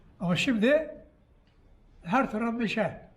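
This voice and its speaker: Room echo is audible around a man's voice. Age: 80s+. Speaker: barrel maker. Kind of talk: interview.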